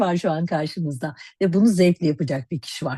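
A somewhat breathy woman with a dark, mellow tone, speaking at a fairly quick pace, in a dry, close sound with no echo over a quiet background. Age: 50s. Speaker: cosmetics educator and network marketer. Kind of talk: sales pitch.

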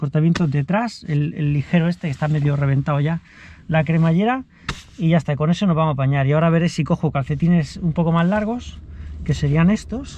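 A man talks at a fairly quick pace with ordinary pitch variation and very even loudness. The sound is dry with no echo, over light background noise. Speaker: runner vlogger. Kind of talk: casual vlog chat. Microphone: phone near.

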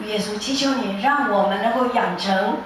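A woman's voice carries strong room echo over light background noise. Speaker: music teacher. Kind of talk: church prayer and announcement. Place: church. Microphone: pa.

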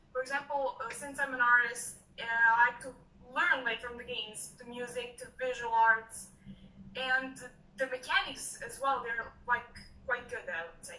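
A woman speaks in a high pitch with a bright, sharp tone and fairly even intonation. Her moderate pace comes through audible room echo and light background noise. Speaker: student. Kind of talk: casual chat. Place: office. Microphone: webcam.

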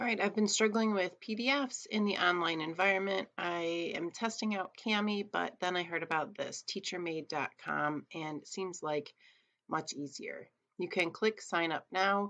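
A woman speaks with a bright, sharp tone against a quiet background. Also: ordinary pitch variation, moderate pace. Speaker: teacher. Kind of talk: tutorial. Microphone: webcam.

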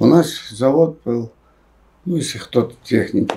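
A man's voice over a quiet background. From Rostov region, Russia. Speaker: film director and writer, former Gulag prisoner. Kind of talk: interview answer. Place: home room.

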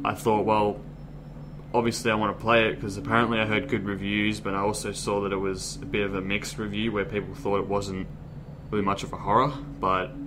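A man at a very fast pace with fairly low pitch, fairly even intonation and noticeable background noise. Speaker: gaming youtuber. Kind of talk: casual vlog chat. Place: home room. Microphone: webcam.

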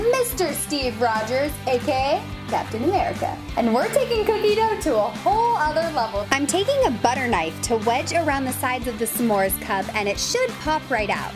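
A woman at a moderate pace with hardly any pauses, clear music playing in the background. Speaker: baking show host. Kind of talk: baking tutorial host reel. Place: kitchen.

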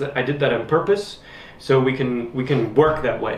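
In a room with audible echo, a man speaks at a medium pitch. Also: ordinary pitch variation, moderate pace.

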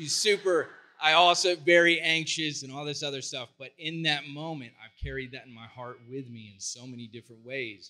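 Bright and sharp, the man's fairly high voice moves with big swings in loudness and hardly any pauses. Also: ordinary pitch variation, moderate pace. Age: 40s. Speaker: psychologist and counselor. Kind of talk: conference talk. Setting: stage with audience. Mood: heartfelt, emotional storytelling. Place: stage. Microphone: handheld.

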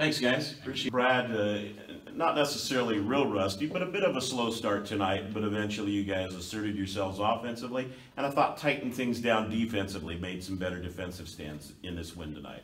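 A man with a fairly low pitch speaks at a fairly quick pace, using ordinary pitch variation and a fairly bright tone, with audible room echo.

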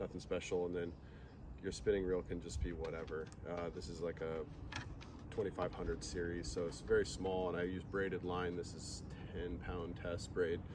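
With long, frequent pauses, a man speaks in a very deep, low pitch and a monotone, flat intonation over noticeable background noise. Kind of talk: tutorial. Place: waterside. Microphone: camera far.

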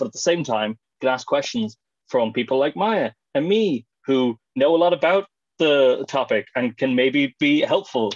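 Lively intonation from a man at a moderate pace, with very even loudness and a quiet background. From Ireland, County Clare; Ireland. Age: 20s. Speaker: webinar panelist. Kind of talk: webinar talk. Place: home room. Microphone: video call.

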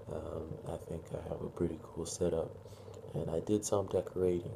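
A man speaks at a moderate pace. Noticeable background noise runs underneath. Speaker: vlogger. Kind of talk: casual vlog chat. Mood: upbeat, proud. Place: home room. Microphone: phone near.

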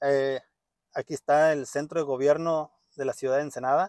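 Against a quiet background, a man speaks at a moderate pace with dry sound with no echo. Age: 30s. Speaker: vlogger. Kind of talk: casual vlog monologue. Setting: parked car. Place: car. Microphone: phone near.

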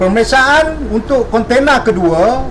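Over noticeable background noise and audible room echo, a man with a high pitch speaks at a very slow pace with ordinary pitch variation. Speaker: police officer. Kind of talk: press conference. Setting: press conference. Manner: formal.

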